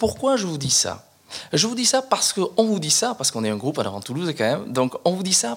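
Very wide pitch swings mark the way this man talks. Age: 40s. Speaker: police officer and mayoral candidate. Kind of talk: interview.

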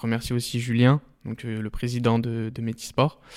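Here a man speaks at a moderate pace. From France, Lyon area. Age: 20s. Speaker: vocational student. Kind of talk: interview testimony. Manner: hesitant, many fillers.

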